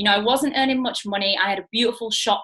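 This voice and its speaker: A woman speaks with a Mancunian accent and a bright, sharp tone. Her pitch varies in an ordinary way. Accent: Mancunian, noticeable. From northern England, Manchester. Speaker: network marketing business owner. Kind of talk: online training talk. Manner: casual, many fillers.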